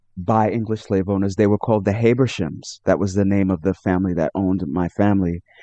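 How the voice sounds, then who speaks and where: With a New York accent, a man speaks in a fairly low, dark, mellow voice with fairly even intonation and a dry, close sound with no echo. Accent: New York American. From New York City, Brooklyn. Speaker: author. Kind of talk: interview.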